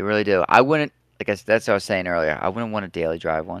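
Recorded with a dry, close sound with no echo and a quiet background, a man speaks in a plain, everyday voice. His pitch is fairly low and his intonation lively. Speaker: diesel mechanic and truck modder. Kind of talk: casual interview chat.

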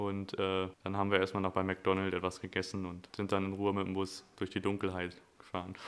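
The man's voice is very deep and low. He speaks fairly quickly in a flat monotone. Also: very clean recording, silent background. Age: 20s. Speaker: podcast co-host. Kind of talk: casual chat.

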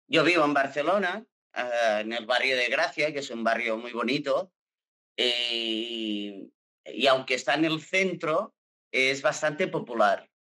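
At a very slow pace, a man speaks with a fairly high pitch and lively intonation. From Catalonia, Salt. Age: 40s. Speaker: actor. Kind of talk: casual chat.

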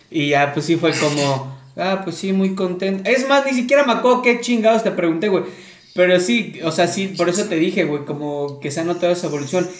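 A man with a Mexican accent and a high pitch talks at a fairly quick pace, with audible room echo and noticeable background noise. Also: lively intonation. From Córdoba, Veracruz, Mexico. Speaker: podcast host. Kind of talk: casual chat.

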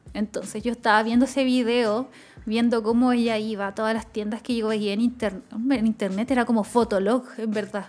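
Speaking at a fairly quick pace, a woman with a Chilean accent keeps a fairly high pitch in a flat, monotone delivery. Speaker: podcast co-host. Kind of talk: casual chat.

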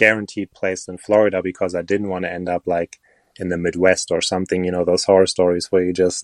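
In a German accent, a man with a very deep, low pitch speaks in a monotone, flat intonation, with a dry, close sound and no echo. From Germany. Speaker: crystal shop owner and online video creator. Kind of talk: casual interview chat. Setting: remote call recording.

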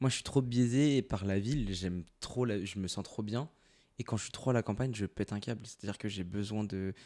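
On a very clean recording with a silent background, a man with a dark, mellow tone speaks fairly quickly at a fairly low pitch with ordinary pitch variation. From Paris suburbs. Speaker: podcast host. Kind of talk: casual chat, interview.

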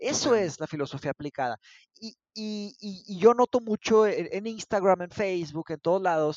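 A man's lively intonation carries his words along at a moderate pace. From northern Mexico, Monterrey. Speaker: philosophy teacher. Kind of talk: casual discussion. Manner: halting, many repetitions.

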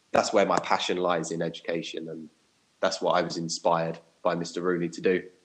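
A man's very deep, low voice with a southern English accent, monotone and flat in intonation. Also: long, frequent pauses. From southern England (Watford). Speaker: primary school teacher, podcast co-host. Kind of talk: casual chat.

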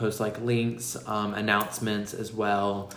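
A man speaks in a fairly low, monotone voice with flat intonation. The room echo is audible and there is noticeable background noise. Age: 20s. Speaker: podcast co-host. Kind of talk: casual chat.

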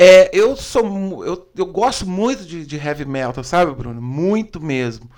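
This man has a high pitch with very wide pitch swings. His pace is fairly slow. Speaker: podcast host. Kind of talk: casual interview. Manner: animated.

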